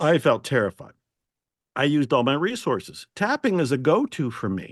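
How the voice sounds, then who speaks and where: Against a quiet background, a man with a fairly high pitch and very wide pitch swings talks at a moderate pace, the sound dry and close with no echo. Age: 70s. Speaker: self-help author. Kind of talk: interview. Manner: animated.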